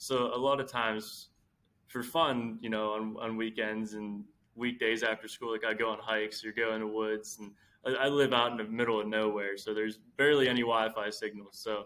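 At a moderate pace, a man with a plain, everyday voice and medium pitch speaks with an American accent. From rural central Pennsylvania. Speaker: clothing company founder, college student. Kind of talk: casual interview chat. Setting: remote call from a college study room.

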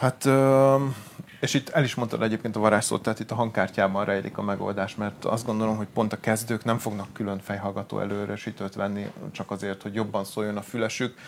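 A man's fairly low voice at a fairly quick pace, with fairly even intonation over noticeable background noise. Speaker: music gear shop salesman. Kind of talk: casual product advice talk. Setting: live stream from a studio.

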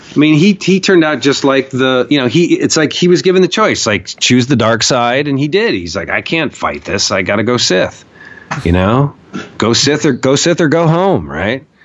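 With an American accent, a man speaks at a fairly high pitch and moderate pace, his pitch swinging very widely over noticeable background noise. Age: 40s. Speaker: documentary filmmaker and activist. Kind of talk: casual interview conversation. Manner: animated.

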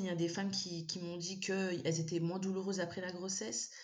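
A woman talks at a very fast pace with a medium pitch. Audible room echo surrounds her voice. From Malagasy heritage. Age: 30s. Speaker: endometriosis patient. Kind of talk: casual interview. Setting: remote recording. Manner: animated.

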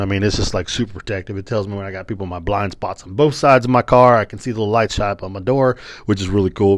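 This man's voice sits fairly low and moves with ordinary pitch variation. He talks at a very fast pace in an animated tone. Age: 40s. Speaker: podcast host. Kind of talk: casual monologue.

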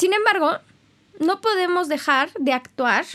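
A woman speaks at a moderate pace with an animated tone and lively intonation. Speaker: podcast host. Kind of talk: casual monologue. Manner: loud.

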